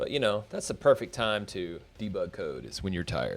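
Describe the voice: Music plays in the background as a man talks in a fairly low voice with ordinary pitch variation.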